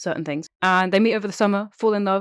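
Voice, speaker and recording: The sound is dry and close with no echo as a woman speaks at a medium pitch. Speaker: podcast host. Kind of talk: casual chat.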